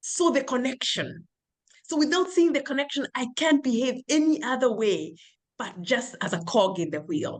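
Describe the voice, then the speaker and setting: A high-pitched woman at a moderate pace, her pitch swinging very widely. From patriarchal culture abroad, immigrant to US. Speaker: cybersecurity professional and PhD student. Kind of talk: interview testimony.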